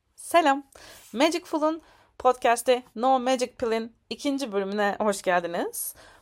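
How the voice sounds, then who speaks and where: At a fairly slow pace, a woman speaks in a high voice on a very clean recording with a silent background. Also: lively intonation. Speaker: podcast host. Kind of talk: podcast intro monologue.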